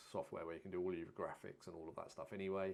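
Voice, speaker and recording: Quietly and at a very fast pace, a man speaks in a very deep, low voice with monotone, flat intonation. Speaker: videographer live streamer. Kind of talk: live stream product talk. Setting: live stream. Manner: talking quietly. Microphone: audio too low, quiet.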